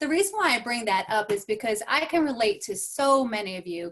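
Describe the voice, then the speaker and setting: A woman talks at a fairly quick pace with an American accent. Her pitch is high and swings very widely. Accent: slight twang. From New York. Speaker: transformational coach and speaker. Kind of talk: motivational talk.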